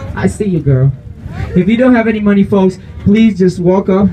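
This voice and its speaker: Light background noise sits under a man speaking in a playful tone. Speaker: street performer. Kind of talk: street show crowd-work hype pitch. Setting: outdoors, street crowd. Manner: loud, playful joking with crowd, laughing. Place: street. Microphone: pa.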